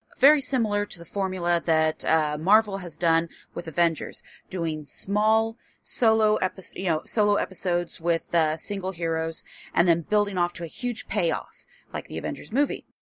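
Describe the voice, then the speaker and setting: The sound is dry and close, with no echo. A woman speaks at a fairly low pitch. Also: ordinary pitch variation, moderate pace. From US Midwest, rural Illinois. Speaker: podcast host. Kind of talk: solo podcast monologue. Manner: informal.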